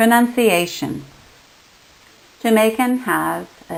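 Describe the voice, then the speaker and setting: A woman with a Canadian accent, ordinary pitch variation and audible room echo. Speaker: linguistics lecturer. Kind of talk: lecture.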